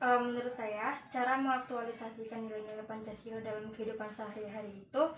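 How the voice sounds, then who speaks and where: The delivery is very fast and monotone, with hardly any pauses. Loudness swings widely over noticeable background noise. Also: woman, fairly high pitch for a woman. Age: 20s. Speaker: interviewee, factory worker. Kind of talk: interview. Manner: hesitant, many fillers.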